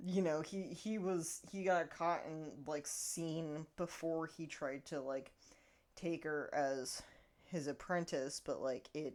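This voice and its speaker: A woman's fairly low voice at a very slow pace, in a very clean recording with a silent background. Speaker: TV show reviewer. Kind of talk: casual review vlog. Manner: stammering, many fillers.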